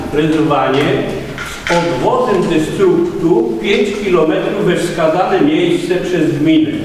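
The very slow speech carries strong room echo and light background noise. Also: man. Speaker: resident speaking at council session. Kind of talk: critical public comment. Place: hall. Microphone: camera far.

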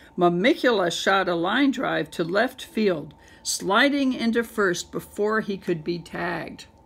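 Someone reads the text aloud, using a natural voice.

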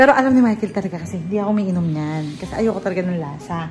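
With light background noise behind her, a woman talks using ordinary pitch variation. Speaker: vlogger. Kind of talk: casual vlog chat. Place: kitchen. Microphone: phone near.

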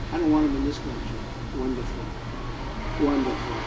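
A man talks against noticeable background noise. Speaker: speaker. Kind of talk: rally speech. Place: hall. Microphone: podium.

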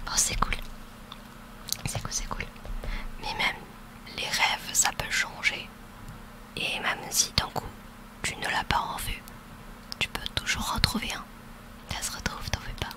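A woman whispers in a gentle tone with long, frequent pauses. The sound is dry with no echo, over light background noise. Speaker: ASMR roleplay creator. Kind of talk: soft roleplay talk to listener. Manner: gentle reassuring ASMR whisper. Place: home room. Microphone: studio mic.

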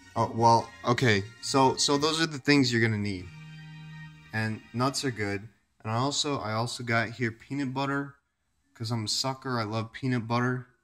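A man at medium pitch and moderate pace, with music in the background. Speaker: amateur cooking vlogger. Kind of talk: casual talk to camera. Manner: rambling, profane, laid-back.

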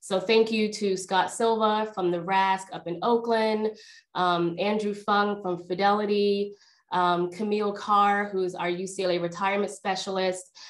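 With a quiet background, a woman speaks in a monotone, flat intonation at a moderate pace. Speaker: workshop host. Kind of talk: webinar introduction. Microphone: video call.

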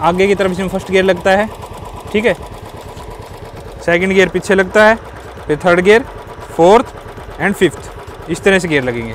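Delivered at a fairly slow pace with long, frequent pauses, the speech has a dry sound with no echo and light background noise. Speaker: riding instructor. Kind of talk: tutorial. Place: street.

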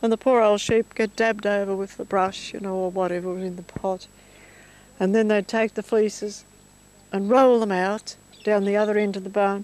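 Speaking in an Australian accent, a woman keeps a medium pitch and a moderate pace. Her intonation is monotone and flat, and the sound is dry with no echo. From Victoria, Australia (rural Mallee, near Rainbow); Victoria, Australia. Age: 70s. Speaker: elderly woman reminiscing. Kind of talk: casual reminiscence. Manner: halting. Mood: nostalgic, reflective. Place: farm. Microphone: handheld.

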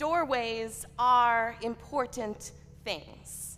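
Over light background noise, a woman talks at a very slow pace in a high pitch. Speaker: preacher. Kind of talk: sermon. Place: church.

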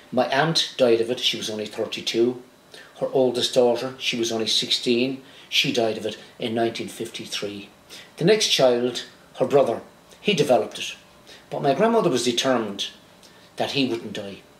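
A man's voice with ordinary pitch variation at a moderate pace, long and frequent pauses, and audible room echo. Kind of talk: storytelling talk to camera. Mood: warm, reminiscing. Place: home room.

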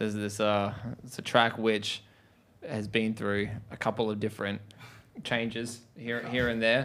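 Speaking at a moderate pace, the man keeps a monotone, flat intonation broken by long, frequent pauses. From Australia. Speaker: rock band member. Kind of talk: casual interview. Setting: studio. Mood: relaxed, amused. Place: studio. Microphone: handheld.

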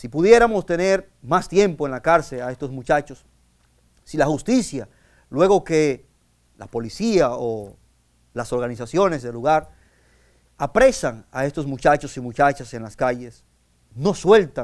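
A man with a fairly high voice and lively intonation, fairly slow and full of long, frequent pauses, big swings in loudness, quiet background. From Dominican Republic. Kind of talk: sermon. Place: studio.

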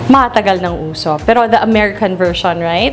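Music in the background and a woman talking at a moderate pace. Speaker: home cook host. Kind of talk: casual cooking vlog chat. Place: kitchen. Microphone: lapel.

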